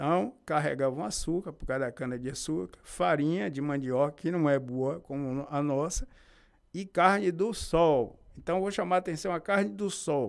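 A man with an unremarkable speaking voice, fairly high-pitched, on a very clean recording with a silent background. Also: moderate pace. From Bahia, Brazil (Feira de Santana). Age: 50s. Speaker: local historian. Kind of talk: interview. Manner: formal.

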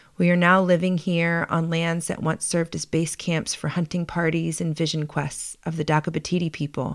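A normal speaking voice from a woman with an American accent, fairly low in pitch, at a moderate pace on a very clean recording with a silent background. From US, Baltimore. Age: 40s. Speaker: podcast host. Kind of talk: scripted narration.

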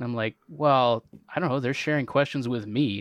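An unremarkable speaking voice with a Canadian accent. It moves at a fairly quick pace with fairly even intonation. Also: man. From Canada. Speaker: trivia host. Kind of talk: casual chat.

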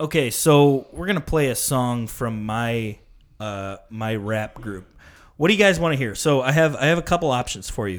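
A man with an American accent and a normal speaking voice talks at a moderate pace and medium pitch, his intonation lively, on a very clean recording with a silent background. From northern Illinois. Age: 20s. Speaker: podcast host. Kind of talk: casual chat.

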